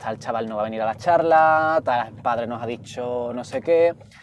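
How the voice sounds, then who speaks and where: The speaker is a man with an Andalusian accent. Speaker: activist and writer. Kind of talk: casual chat. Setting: in a car. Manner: fast.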